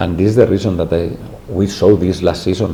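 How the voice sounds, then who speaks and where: A man talks at a fairly quick pace with a very deep, low pitch and fairly even intonation. Noticeable background noise and audible room echo fill the recording. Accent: Spanish. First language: Spanish. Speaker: football head coach. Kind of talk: press conference. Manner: halting.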